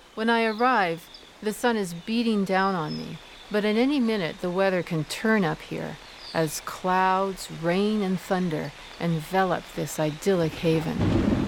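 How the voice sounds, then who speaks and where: An ordinary speaking voice from a woman with an American accent, medium in pitch, with ordinary pitch variation, at a fairly slow pace. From US mainland. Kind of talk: scripted narration.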